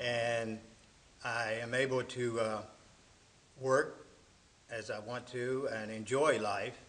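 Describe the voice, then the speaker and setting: Amid noticeable background noise and audible room echo, a man talks in a monotone, flat way at a very slow pace with long, frequent pauses. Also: medium pitch for a man. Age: 70s. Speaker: church member, retired father. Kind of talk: interview testimony.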